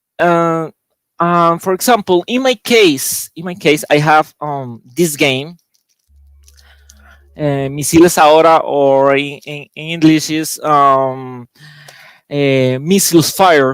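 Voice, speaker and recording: With a Spanish accent and a fairly high pitch, a man speaks at a very slow pace with long, frequent pauses, in a dry, close sound with no echo. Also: ordinary pitch variation. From Costa Rica. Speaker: board game designer. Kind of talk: panel discussion. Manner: halting.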